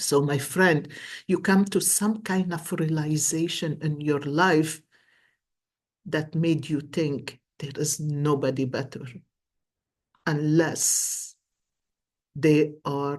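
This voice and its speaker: A woman speaks at a very slow pace in a Lebanese accent. Her pitch variation is ordinary, and the background is quiet. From Lebanon. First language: Arabic. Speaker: tarot and coffee cup reader. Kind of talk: psychic reading monologue. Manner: animated.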